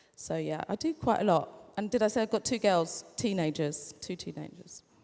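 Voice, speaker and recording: This woman has an unremarkable speaking voice at medium pitch, speaking at a moderate pace with lively intonation. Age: 40s. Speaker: author and content creator. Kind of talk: live panel discussion. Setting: stage with audience.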